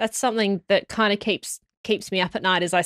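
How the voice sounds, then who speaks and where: The voice has fairly even intonation and a dry sound with no echo, recorded against a quiet background. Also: woman. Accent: Australian. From Australia (Sydney); Australia. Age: 20s. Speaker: geoscience podcast host. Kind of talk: casual chat. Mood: earnest, reflective. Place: studio. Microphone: studio mic.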